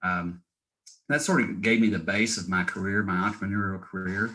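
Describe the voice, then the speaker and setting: Bright and sharp in tone, a man with a fairly low voice speaks at a fairly quick pace with an American accent. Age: 60s. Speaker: real estate investor. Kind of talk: interview. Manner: halting.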